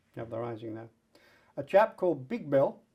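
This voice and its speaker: Talking at a fairly quick pace, a man with a southern English accent has a fairly high pitch. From England, Colchester. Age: 80s+. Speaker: Roma rights activist. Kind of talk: oral history interview.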